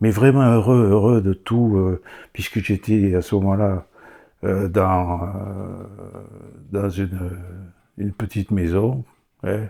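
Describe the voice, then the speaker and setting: A man's dark, mellow voice at a fairly low pitch, very slow in pace with long, frequent pauses, on a very clean recording with a silent background. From France, Gironde (Bordeaux area). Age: 70s. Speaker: church member. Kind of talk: testimony. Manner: animated; halting.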